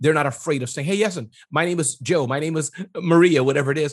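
A man's fairly high, somewhat breathy voice at a fairly quick pace, with ordinary pitch variation. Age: 40s. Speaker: entrepreneur and small business consultant. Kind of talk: interview.

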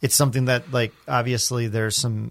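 This is a plain, everyday voice with fairly even intonation. The recording is very clean, with a silent background. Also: man. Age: 30s. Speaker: podcast co-host. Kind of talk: casual chat.

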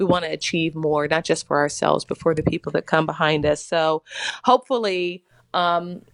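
Recorded dry and close with no echo against a quiet background, a woman with an American accent uses an unremarkable speaking voice, fairly low in pitch, at a fairly quick pace. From US South, Mississippi. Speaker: actress. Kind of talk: interview.

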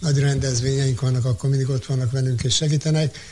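Noticeable background noise runs under the recording. A man speaks very fast at a medium pitch. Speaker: community radio manager. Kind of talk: interview. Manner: halting.

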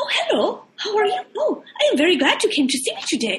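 A female-sounding put-on character voice goes extremely high in pitch, with very wide pitch swings and a fairly quick pace. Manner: polite, welcoming, theatrical.

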